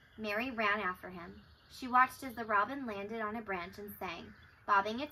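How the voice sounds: The passage comes through in a natural reading voice.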